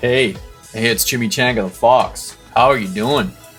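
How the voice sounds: A gruff, put-on character voice from a man at medium pitch and moderate pace, with clear music in the background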